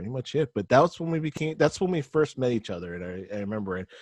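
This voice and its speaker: A man with an American accent, dry, close sound with no echo, and a quiet background. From California. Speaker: podcast co-host. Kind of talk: casual chat.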